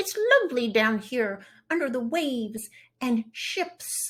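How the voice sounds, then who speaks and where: A female-sounding voice in a put-on character voice, high in pitch, at a fairly slow pace. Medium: read story.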